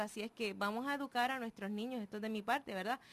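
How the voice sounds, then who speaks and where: A woman talks with ordinary pitch variation at a fairly high pitch. It is an ordinary speaking voice. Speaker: radio co-host. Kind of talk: live radio talk show.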